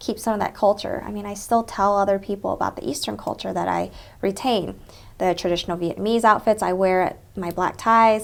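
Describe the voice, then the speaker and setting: Heard on a very clean recording with a silent background, a woman speaks in a Southern US accent. Her pitch is medium with ordinary pitch variation, and her pace is fairly quick. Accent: Southern twang. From Texas. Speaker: interviewee, Vietnamese American professional. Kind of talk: oral history interview. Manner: conversational, frequent fillers.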